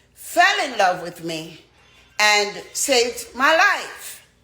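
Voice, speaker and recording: With audible room echo, a woman's voice swings very widely in pitch. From Jamaica. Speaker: dancehall artist. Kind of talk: testimony.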